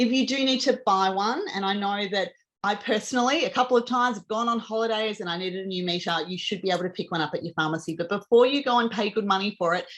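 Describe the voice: A woman speaks fast at a medium pitch. Her tone is fairly bright, with ordinary pitch variation.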